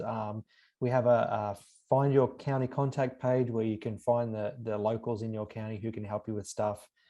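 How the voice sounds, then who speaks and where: Speaking with an Australian accent at a moderate pace, a man has a dark, mellow, medium-pitched voice and fairly even intonation. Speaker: university professor and extension specialist. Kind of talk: webinar lecture. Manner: frequent fillers and repetitions.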